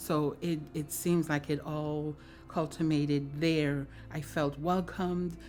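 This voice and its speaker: A woman speaks at a very slow pace in a very deep, low pitch, with monotone, flat intonation. Music plays in the background. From Dominica. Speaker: churchgoer. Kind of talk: testimony.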